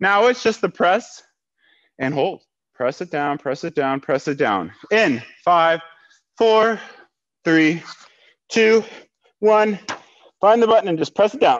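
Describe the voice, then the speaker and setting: The man's voice sits high, and he moves at a fairly slow pace with long, frequent pauses. All around him the background is quiet. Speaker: fitness instructor. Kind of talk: workout instruction. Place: gym.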